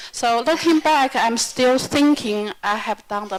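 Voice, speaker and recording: A woman's fairly slow speech in a Chinese accent, with ordinary pitch variation and noticeable background noise. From China. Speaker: yoga teacher. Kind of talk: self-introduction at workshop.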